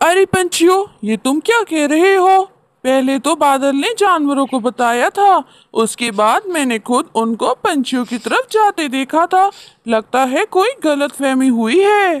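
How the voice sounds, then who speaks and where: A cartoonish character voice, high in pitch, at a fairly slow pace. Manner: calm, reasonable.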